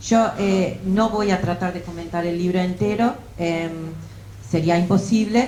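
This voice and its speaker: A woman at medium pitch and a fairly slow pace, with ordinary pitch variation, audible room echo and noticeable background noise. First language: English (speaking Spanish). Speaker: political science professor. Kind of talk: academic book presentation. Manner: halting, many fillers.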